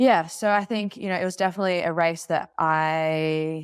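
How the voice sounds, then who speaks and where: With an Australian accent, a woman talks, her pitch rising and falling in a typical way. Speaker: Olympic open water swimmer. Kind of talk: interview.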